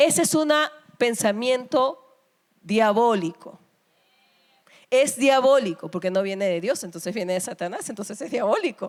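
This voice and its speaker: With an animated tone and lively intonation, a woman speaks at a fairly slow pace, leaving long, frequent pauses. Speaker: pastor. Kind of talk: sermon.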